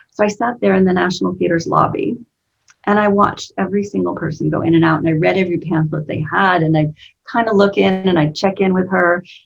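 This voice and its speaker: A woman speaks at a fairly quick pace with vocal fry and a medium pitch. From United States. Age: 50s. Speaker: business coach. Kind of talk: interview. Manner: animated.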